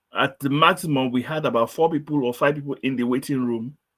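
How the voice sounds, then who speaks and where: A man's medium-pitched voice with fairly even intonation. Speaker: quiz show host. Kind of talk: online session test run. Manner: slow, deliberate.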